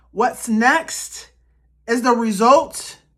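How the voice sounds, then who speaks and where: A woman speaks loudly in a high pitch. Her tone is animated. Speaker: tarot card reader and ancestral guidance practitioner. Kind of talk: pick-a-card tarot reading to camera. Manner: casual, animated, conversational.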